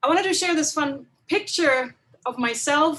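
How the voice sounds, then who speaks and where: A woman's bright, sharp tone at a moderate pace, with ordinary pitch variation. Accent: German. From Germany. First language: German. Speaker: chemistry professor. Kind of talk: webinar lecture. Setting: video call webinar.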